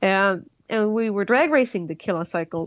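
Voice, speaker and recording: A woman speaks with a Swedish accent. Her pace is moderate and her pitch varies in an ordinary way. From Sweden. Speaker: engineer and motorcycle land speed racer. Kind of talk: interview.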